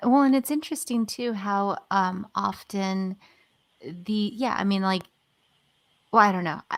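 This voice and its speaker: Mumbling in a put-on character voice, a woman speaks at a moderate pace and medium pitch with long, frequent pauses. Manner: mumbling, hesitant, trailing off.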